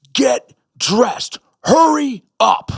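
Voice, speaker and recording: Shouting in a put-on character voice, the speaker is recorded with a dry, close sound and no echo. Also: man, extremely high pitch for a man. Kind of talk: commanding, barking orders. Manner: stern, shouting.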